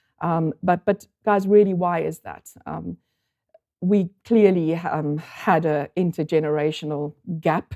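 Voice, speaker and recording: With a South African accent, a woman of fairly low pitch speaks at a fairly slow pace with fairly even intonation and big swings in loudness, the sound dry and close with no echo. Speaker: statistical consultant. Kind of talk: conference talk. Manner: halting, many fillers.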